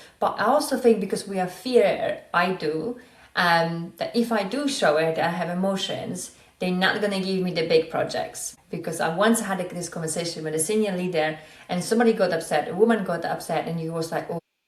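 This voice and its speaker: A woman talks at a fairly quick pace in a medium pitch with ordinary pitch variation. Noticeable background noise is present. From Poland. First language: Polish. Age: 40s. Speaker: podcast host, business psychologist. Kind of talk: casual interview chat.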